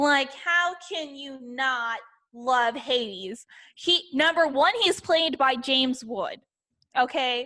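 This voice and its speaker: At a very slow pace, a woman with a high pitch and a bright, sharp tone uses a raised, projected voice with lively intonation and big swings in loudness. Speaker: podcast co-host. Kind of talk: casual chat.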